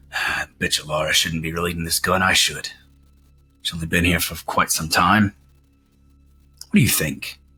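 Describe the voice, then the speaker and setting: A gruff, put-on character voice at a moderate pace, with long pauses coming often. Faint music plays in the background. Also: man, very deep, low pitch for a man. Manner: scheming, resentful.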